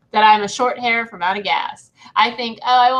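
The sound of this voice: This is an unforced reading voice with fairly even intonation. The background stays quiet.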